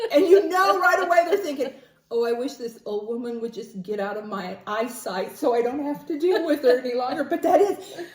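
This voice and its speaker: The speaker moves at a fairly quick pace, with very wide pitch swings and big swings in loudness. Noticeable background noise runs underneath. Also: woman, high pitch for a woman. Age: 60s. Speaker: podcast co-host. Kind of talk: casual chat.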